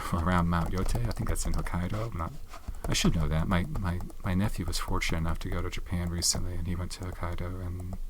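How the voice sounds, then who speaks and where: Soft-spoken and very deep, low in pitch, a man talks at a very fast pace with fairly even intonation over noticeable background noise. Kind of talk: ASMR soft-spoken show and tell.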